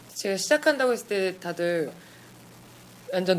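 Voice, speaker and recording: The delivery moves at a fairly slow pace. Noticeable background noise runs underneath. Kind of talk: casual interview chat.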